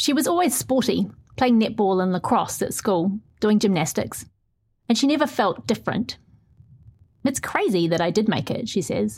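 A woman with vocal fry speaks at a moderate pace in a fairly high pitch, her pitch swinging very widely. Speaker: newspaper reporter. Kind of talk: interview and reading own article aloud.

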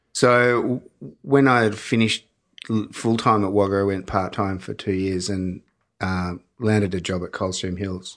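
In an Australian accent, a man with a fairly low pitch speaks at a moderate pace and fairly even intonation against a quiet background. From Melbourne, Australia. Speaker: winemaker. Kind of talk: casual chat. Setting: studio.

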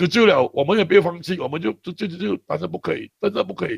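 Speaking at a very fast pace, a man with a high pitch uses lively intonation in a dry, close sound with no echo. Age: 50s. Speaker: charity worker. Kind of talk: interview. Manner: halting, with many fillers and repetitions.

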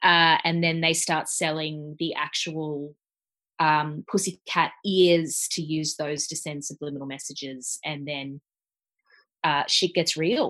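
Against a quiet background, a woman with an Australian accent speaks very slowly in a very deep, low voice with a bright, sharp tone and fairly even intonation. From Australia, Gold Coast. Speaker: podcast co-host. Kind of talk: casual chat. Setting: remote call.

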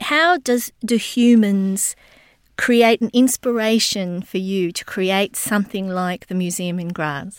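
The speaker has an Australian accent, a very slow pace and ordinary pitch variation. The sound is dry and close with no echo, in a very clean recording with a silent background. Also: woman, medium pitch for a woman. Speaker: interviewer. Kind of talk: interview.

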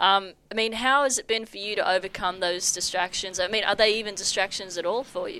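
With an Australian accent, a woman speaks in a bright, sharp tone at a fairly quick pace with hardly any pauses and ordinary pitch variation, in a very clean recording with a silent background. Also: medium pitch for a woman. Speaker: sports podcast co-host. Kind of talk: casual chat.

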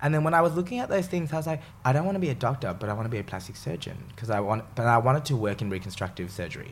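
A man's somewhat breathy, medium-pitched voice in an Australian accent, very fast with hardly any pauses and very wide pitch swings. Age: 20s. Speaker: chef. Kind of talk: casual chat.

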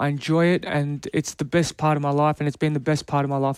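A man with an Australian accent, fairly high in pitch, flat and monotone at a moderate pace, dry and close with no echo on a very clean recording with a silent background. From Canberra, Australia. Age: 30s. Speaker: retired rugby player. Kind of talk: interview.

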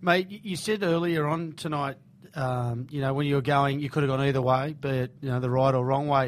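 This man has an Australian accent and a fairly high pitch. He talks at a fairly quick pace. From Sydney, Australia (Bondi). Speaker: radio host. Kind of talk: casual interview. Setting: radio studio.

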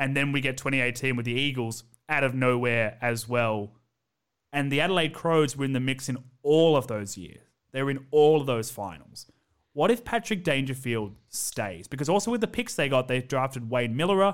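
Lively intonation marks this man's Australian accent. He speaks fairly quickly at medium pitch. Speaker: podcast host. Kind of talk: casual chat. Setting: remote call with guest. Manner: animated.

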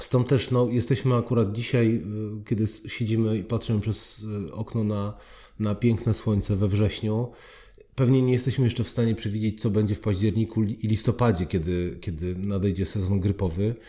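On a very clean recording with a silent background, a man's fairly low, somewhat breathy voice has a dark, mellow tone and fairly even intonation. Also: moderate pace. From southern Poland (Oświęcim). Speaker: foundation president and public speaking trainer. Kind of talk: interview.

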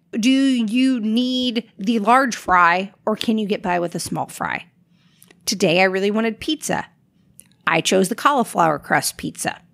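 Using an ordinary speaking voice, a woman talks fairly slowly at a fairly high pitch with lively intonation. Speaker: podcast host. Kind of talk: casual chat.

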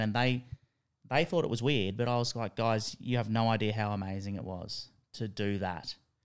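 A man speaks with an Australian accent at a fairly quick pace. His pitch varies in an ordinary way. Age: 40s. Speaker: tutor and mental health worker. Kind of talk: casual interview.

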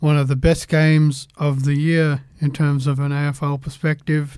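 A man does the talking. The accent is Australian. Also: very clean recording, silent background. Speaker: sports podcast host. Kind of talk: casual sports panel chat.

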